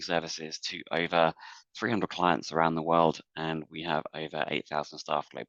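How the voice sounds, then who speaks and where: A man with an English accent and a very deep, low pitch speaks at a fairly quick pace in a dry, close sound with no echo and a quiet background. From England. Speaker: talent management executive. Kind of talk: webinar panel discussion. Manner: hesitant, many fillers.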